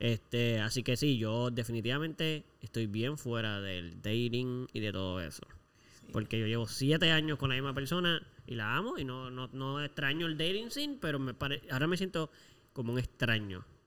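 At a moderate pace, a man with an ordinary speaking voice talks at a medium pitch. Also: lively intonation. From Puerto Rico. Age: 20s. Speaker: podcast co-host. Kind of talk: casual chat.

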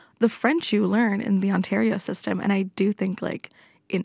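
A woman with a Canadian accent, medium pitch, vocal fry, fairly even intonation and a moderate pace, in a dry, close sound with no echo. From Canada, Toronto. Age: 20s. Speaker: student radio guest. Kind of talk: casual chat. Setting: studio.

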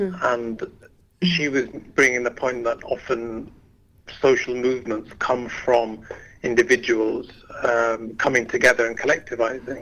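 A man with a Yorkshire accent talks at a fairly slow pace with long, frequent pauses. His pitch is medium, with ordinary variation. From Leeds, northern England. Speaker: climate activist. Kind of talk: radio interview. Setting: phone call.

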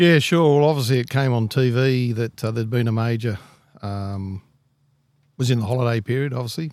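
A man's medium-pitched voice with an Australian accent, fairly quick in pace, with ordinary pitch variation. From Australia, Blue Mountains NSW. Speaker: retired firefighter. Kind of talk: casual interview.

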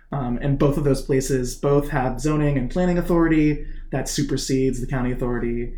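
A man with a fairly high-pitched, dark, mellow voice talks at a moderate pace with fairly even intonation and hardly any pauses, with audible room echo. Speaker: chair of a political action committee. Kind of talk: interview. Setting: home garage studio.

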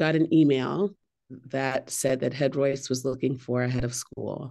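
An American accent marks this woman's speech. Her voice carries vocal fry. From US West Coast, San Francisco Bay Area. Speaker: head of school. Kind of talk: interview.

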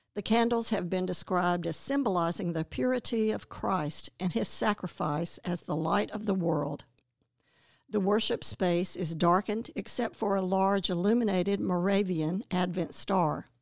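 This is a normal speaking voice with an American accent. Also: woman, medium pitch for a woman, ordinary pitch variation, moderate pace. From North Carolina, Winston-Salem. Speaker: church member giving a devotion. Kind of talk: scripted devotional reading.

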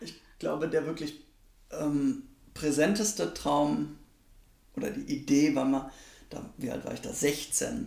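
Very slow and somewhat breathy, a man speaks at a fairly high pitch with lively intonation, big swings in loudness, and long, frequent pauses. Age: 20s. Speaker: parliamentary staffer. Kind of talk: interview. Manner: hesitant, many fillers.

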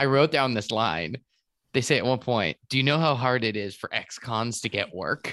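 A man's bright, sharp voice with ordinary pitch variation, recorded dry and close with no echo. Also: medium pitch for a man, moderate pace. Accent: American. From Massachusetts. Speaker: comedian. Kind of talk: casual chat.

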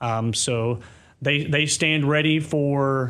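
In an American accent, a man speaks at a fairly high pitch. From US South, Kentucky. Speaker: army sergeant major. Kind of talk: interview.

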